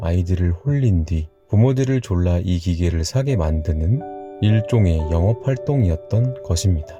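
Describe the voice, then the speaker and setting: Over background music, the speaker uses a calm, soothing tone with lively intonation at a fairly slow pace. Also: man. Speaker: storyteller / ASMR narrator. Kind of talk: bedtime story reading, personal childhood anecdote. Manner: calm, soothing, relaxed.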